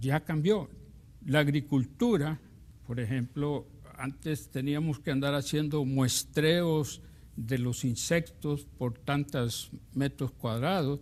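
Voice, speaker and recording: Speaking at a very slow pace, a man with a fairly high voice shows ordinary pitch variation. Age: 60s. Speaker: university professor and business administrator. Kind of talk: TV interview. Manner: hesitant.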